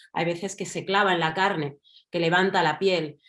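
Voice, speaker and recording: A woman speaks in a Madrid accent at medium pitch. Her pace is moderate. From Spain, Madrid. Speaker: writer and journalist. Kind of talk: panel discussion. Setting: online event.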